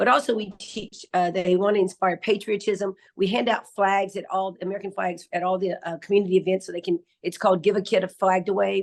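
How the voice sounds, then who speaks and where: Her words come at a fairly quick pace. This woman keeps her intonation fairly even. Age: 60s. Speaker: dance teacher. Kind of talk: interview. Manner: halting, many fillers.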